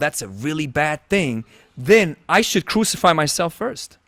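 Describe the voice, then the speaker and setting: The sound is dry and close, with no echo, as a man talks at a fairly slow pace. His pitch swings very widely. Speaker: podcast host. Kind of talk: casual interview chat. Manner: halting, with false starts.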